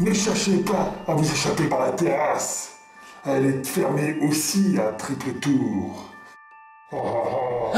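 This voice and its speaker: A put-on character voice from a man, fairly high-pitched and fairly slow, with a slight echo and clear music in the background. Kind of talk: comic horror villain. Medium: voice reel. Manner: theatrical, gloating, menacing; over-dramatic, exclaiming.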